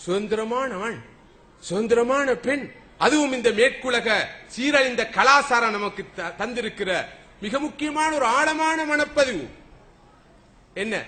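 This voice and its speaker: With an animated tone, a man uses a raised, projected voice at an extremely high pitch. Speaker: Islamic preacher giving a lecture. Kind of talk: religious sermon (bayan) to an audience. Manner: animated, oratorical, rhetorical questions.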